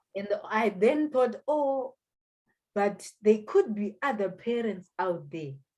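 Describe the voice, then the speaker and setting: With a Zimbabwean accent, a woman talks at a very slow pace in a fairly high pitch, her tone dark and mellow and her intonation lively. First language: Shona. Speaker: economist and language school founder. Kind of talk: interview. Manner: halting.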